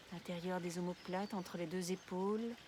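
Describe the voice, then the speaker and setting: Speaking at a medium pitch, a woman uses a calm, soothing tone and fairly even intonation. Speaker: yoga nidra guide. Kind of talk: guided relaxation session. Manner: slow, calm, soothing.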